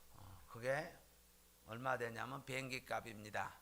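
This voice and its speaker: A man speaks in a bright, sharp tone with vocal fry. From South Korea, Jeolla region. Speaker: pastor. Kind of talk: sermon. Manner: frequent filler hesitations.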